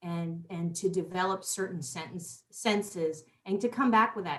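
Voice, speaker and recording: A woman's unremarkable speaking voice, medium in pitch with ordinary pitch variation, at a fairly slow pace with hardly any pauses. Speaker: talk show host. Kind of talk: casual interview chat.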